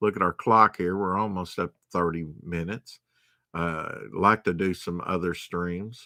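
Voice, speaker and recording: A man in a Southern US accent, very deep, low pitch, bright, sharp tone, fairly even intonation, fairly slow pace, and a dry sound with no echo against a quiet background. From US South. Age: 50s. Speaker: comic book collector streamer; comic collector streamer. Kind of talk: live stream show-and-tell. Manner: casual, halting with fillers. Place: home room. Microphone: webcam.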